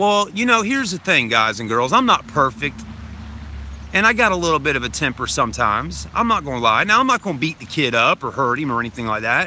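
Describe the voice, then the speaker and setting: Over noticeable background noise, a man with a fairly high pitch talks at a very fast pace with very wide pitch swings. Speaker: vlogger. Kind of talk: livestream chat. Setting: livestream. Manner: loud, projecting; animated.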